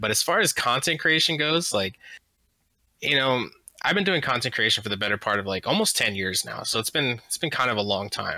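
A man talks at a fairly quick pace with very wide pitch swings. His tone is bright and sharp. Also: medium pitch for a man. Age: 20s. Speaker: video game streamer, podcast co-host. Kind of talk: casual chat.

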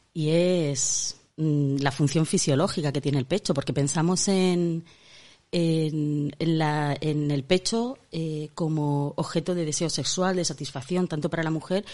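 A woman speaks at a fairly slow pace with a very deep, low pitch. Her tone is dark and mellow, with ordinary pitch variation. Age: 50s. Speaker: podcast co-host. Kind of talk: casual chat.

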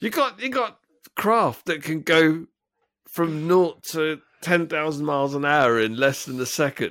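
A fairly high-pitched man with an English accent, lively intonation and a fairly slow pace. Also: very clean recording, silent background. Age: 40s. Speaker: podcast co-host. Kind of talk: casual chat. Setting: call.

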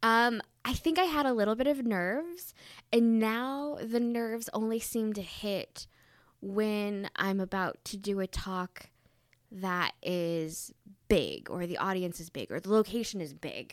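In a very clean recording with a silent background, a woman with an American accent and an unremarkable speaking voice talks at a fairly slow pace, her fairly high pitch carrying lively intonation. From Southeast Michigan, US Midwest. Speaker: public historian and lecturer. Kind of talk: casual interview.

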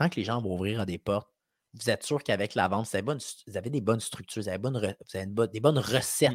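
On a very clean recording with a silent background, a man with a Quebec accent speaks at a medium pitch with lively intonation. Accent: Québécois French. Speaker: sales expert and podcast host. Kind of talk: casual chat.

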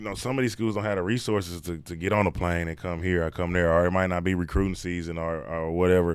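A man's very deep, low voice at a very fast pace. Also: fairly even intonation. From Texas, Dallas area. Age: 20s. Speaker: basketball coach. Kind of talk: casual chat.

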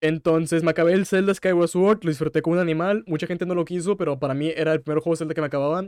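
A man talks at a very fast pace with fairly even intonation, the sound dry and close with no echo. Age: 20s. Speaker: streamer and podcaster. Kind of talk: casual solo podcast with live chat. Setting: live stream.

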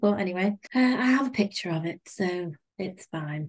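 A woman's fairly low, somewhat breathy voice with a British accent and ordinary pitch variation. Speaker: podcast host. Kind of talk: casual chat.

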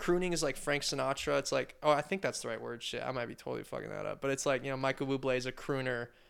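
A man's very fast speech with a West Coast accent and hardly any pauses. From Oregon, near Portland (Wilsonville). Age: 20s. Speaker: podcast guest. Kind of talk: casual chat. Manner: laid-back slangy.

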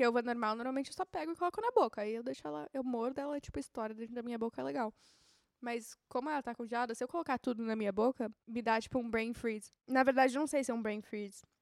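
A woman speaks very fast in a high voice with ordinary pitch variation. The recording is dry and close, with no echo. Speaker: podcast host. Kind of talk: casual solo chat.

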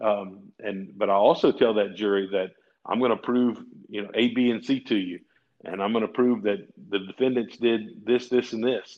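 With a Louisiana accent, a man speaks at a fairly quick pace and a medium pitch. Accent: southern US (Louisiana). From Louisiana, rural farm area. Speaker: personal injury lawyer. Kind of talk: casual interview.

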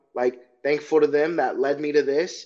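A man's normal speaking voice at a moderate pace, with an American accent, over a quiet background. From Chicago, Illinois. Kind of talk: casual interview.

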